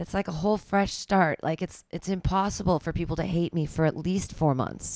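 In a plain, everyday voice, a woman talks at a moderate pace with a fairly low pitch, fairly even intonation, hardly any pauses, and a dry, close sound with no echo. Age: 40s. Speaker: radio host and comedian. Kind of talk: casual chat.

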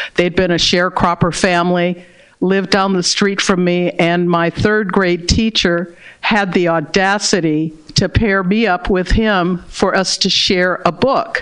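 A woman speaks at a medium pitch and a fairly slow pace, with very even loudness. It is an ordinary speaking voice. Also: fairly even intonation. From Berkeley, California. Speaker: diversity practitioner, author. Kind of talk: interview.

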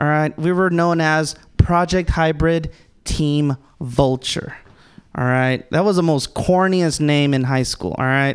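In a normal speaking voice, a man with an American accent talks at a fairly high pitch. His pace is fairly slow. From Los Angeles, Salvadoran family. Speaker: stand-up comedian. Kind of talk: stand-up. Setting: stage with audience.

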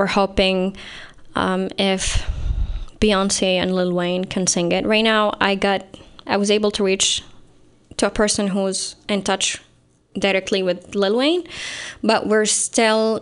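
Speaking at a very slow pace with long, frequent pauses, a woman keeps a medium pitch, a monotone, flat intonation and very even loudness. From Saudi Arabia. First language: Arabic. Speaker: writer. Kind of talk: interview.

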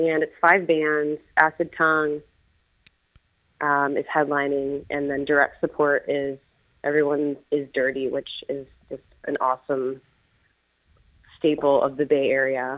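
A woman talks fairly slowly, with long, frequent pauses. Her very deep, low pitch stays monotone and flat. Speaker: musician. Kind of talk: casual chat.

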